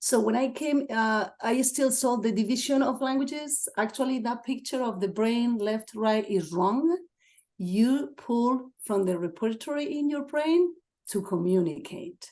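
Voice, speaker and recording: A woman's high-pitched, dark and mellow voice in a Spanish accent, with lively intonation, a fairly slow pace and a quiet background. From Spain, Asturias. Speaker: assistant principal. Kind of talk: webinar talk.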